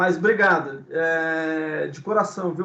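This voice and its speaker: A man talks at a fairly high pitch with ordinary pitch variation. Vocal fry runs through his voice. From Brazil, São Paulo city. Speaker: guest speaker, ministry teacher. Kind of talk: casual chat. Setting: video call. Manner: halting.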